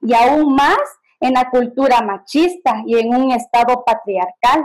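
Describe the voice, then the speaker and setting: A woman's high-pitched voice, with ordinary pitch variation, moves at a very slow pace. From Guatemala, K'iche' Maya. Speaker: workshop participant. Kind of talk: discussion comment.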